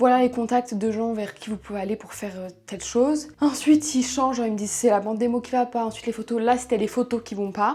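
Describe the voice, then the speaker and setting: A woman speaks at a very fast pace. Her pitch is fairly high and her intonation fairly even. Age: 20s. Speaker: vlogger, aspiring actress. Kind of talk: casual vlog. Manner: casual, hesitant with fillers.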